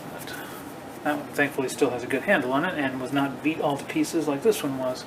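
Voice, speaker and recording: Speaking at a very fast pace, a man has a fairly high pitch and fairly even intonation. Audible room echo and noticeable background noise fill the recording. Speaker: woodworking hobbyist. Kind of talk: casual shop tutorial. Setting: home garage workshop. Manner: hesitant, many fillers.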